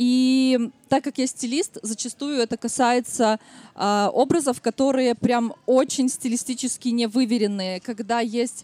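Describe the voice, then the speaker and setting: A woman's high-pitched voice in a dry, close sound with no echo. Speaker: podcast host and stylist. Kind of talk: live podcast recording before audience. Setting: outdoor stage at city picnic with audience.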